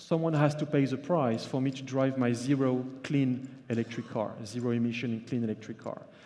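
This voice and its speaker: Audible room echo surrounds a man speaking with a French accent. His pitch is fairly high, with ordinary variation, at a moderate pace. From France. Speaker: journalist and author. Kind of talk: conference keynote. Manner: halting, with fillers.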